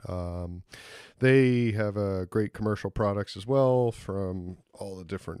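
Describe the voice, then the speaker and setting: Recorded with a dry, close sound and no echo, a man with an American accent talks at a fairly slow pace in a fairly low voice with a dark, mellow tone. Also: very clean recording, silent background. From Philadelphia, US. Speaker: podcast host, winemaker. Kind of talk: sponsor read, casual ad-lib. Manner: casual, joking with fillers.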